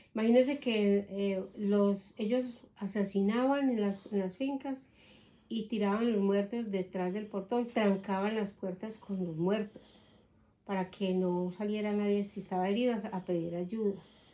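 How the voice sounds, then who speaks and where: The delivery comes at a fairly slow pace, with fairly even intonation and a dark, mellow tone. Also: woman, medium pitch for a woman. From Colombia. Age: 60s. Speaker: grandmother interviewed about her life. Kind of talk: oral history interview.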